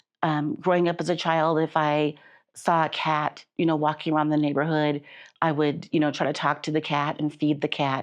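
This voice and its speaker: Monotone, flat delivery in an American accent, with very even loudness, a moderate pace and a quiet background. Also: woman, very deep, low pitch for a woman. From Chicago. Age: 60s. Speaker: patient guest, nonprofit worker. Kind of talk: interview testimony.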